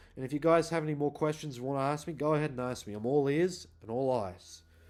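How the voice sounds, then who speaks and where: With an Australian accent, a man talks at a fairly quick pace in a fairly high pitch. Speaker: YouTuber. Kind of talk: casual vlog monologue.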